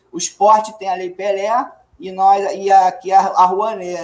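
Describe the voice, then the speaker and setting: This man has a high-pitched voice. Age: 40s. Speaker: actor. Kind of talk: casual chat.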